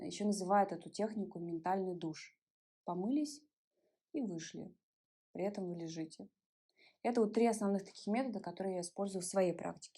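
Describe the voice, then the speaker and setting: A woman's dark, mellow voice at medium pitch, with ordinary pitch variation, a moderate pace and long, frequent pauses. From Ulan-Ude, Buryatia, Russia. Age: 30s. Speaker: body-oriented psychologist. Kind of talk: interview answer.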